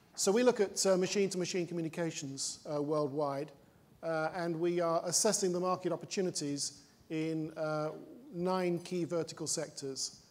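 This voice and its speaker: A high-pitched man with a slight British accent, fairly even intonation and a moderate pace. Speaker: panel moderator. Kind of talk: panel discussion. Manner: hesitant, many fillers.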